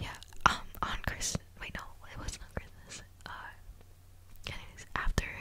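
A woman whispers at a moderate pace in a tearful tone. Noticeable background noise can be heard. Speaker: vlogger. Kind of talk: casual vlog chat. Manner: close binaural whisper, tearful. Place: home room. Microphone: studio mic.

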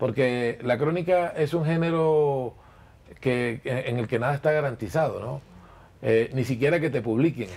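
A fairly slow pace with ordinary pitch variation. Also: man. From Colombian Caribbean coast. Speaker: journalist and chronicle writer. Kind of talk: interview answer. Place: shop.

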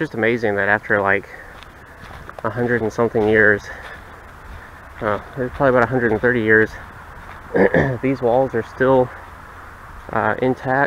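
A man speaks in a flat monotone, taking long, frequent pauses over light background noise. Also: moderate pace, dry sound with no echo. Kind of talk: casual exploration commentary. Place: forest. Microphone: phone near.

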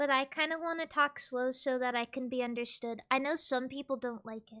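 A woman talks in a raised, projected voice at a high pitch, with a bright, sharp tone. Her intonation stays fairly even while her loudness swings widely. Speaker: VTuber streamer. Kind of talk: casual chat. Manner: slow; careful enunciation.

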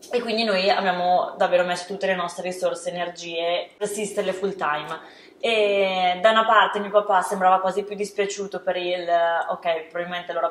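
In a room with audible echo, a woman with a Lombard accent speaks fairly quickly at medium pitch in a flat monotone. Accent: northern Italian (Lombard). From northern Italy. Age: 20s. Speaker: startup co-founder; interview guest. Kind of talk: interview. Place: studio.

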